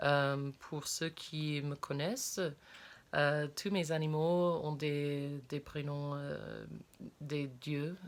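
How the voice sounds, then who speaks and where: A woman's very deep, low voice, very slow and monotone, with flat intonation on a very clean recording with a silent background. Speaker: spiritual content creator. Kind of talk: casual vlog talk. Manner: halting, many hesitations.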